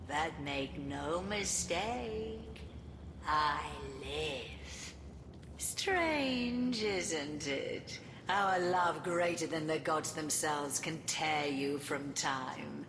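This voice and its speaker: Spoken in a put-on character voice at a middle pitch, the delivery is very slow, with loud background noise and a clear echo. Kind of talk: dark fantasy game villain speech. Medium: video game. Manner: grandiose, theatrical, condescending.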